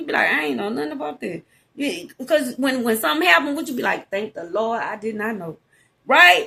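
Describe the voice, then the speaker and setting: With a Southern US accent, a woman talks very fast at a high pitch. Her tone is bright and sharp, and her pitch swings very widely. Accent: country Southern. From Louisiana. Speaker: podcast host, psychic. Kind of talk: casual monologue. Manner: expressive, animated.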